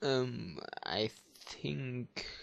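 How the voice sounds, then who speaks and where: A man with a non-native accent. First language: German. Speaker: 3D modeler, channel owner. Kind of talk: screen-recorded tutorial showcase. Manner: halting, many fillers.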